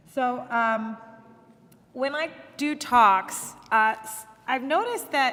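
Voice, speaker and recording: Someone speaks with an American accent over noticeable background noise. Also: woman. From US Midwest, Akron, Ohio. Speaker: judge. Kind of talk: public talk. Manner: halting.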